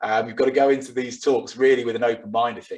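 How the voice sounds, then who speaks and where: This man talks at a very fast pace in a British accent. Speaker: digital marketing and tech speaker. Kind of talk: webinar presentation.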